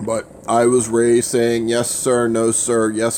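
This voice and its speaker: Against noticeable background noise, a man speaks fairly slowly at medium pitch. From Louisiana. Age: 30s. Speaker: livestreamer. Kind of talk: casual livestream chat. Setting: livestream. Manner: stutters at times.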